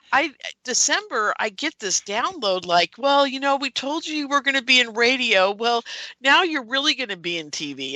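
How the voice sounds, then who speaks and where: A woman projects a raised voice at a high pitch, with very wide pitch swings. She keeps a moderate pace, and the sound is dry and close with no echo. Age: 60s. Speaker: UFO conference producer and radio host. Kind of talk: casual interview chat. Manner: animated.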